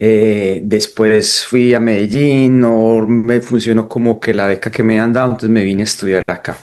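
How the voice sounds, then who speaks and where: With a Colombian paisa accent, a man talks at a moderate pace in a medium pitch, his intonation monotone and flat, with hardly any pauses. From Colombia, Pereira (coffee region). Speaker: documentary photographer. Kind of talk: interview.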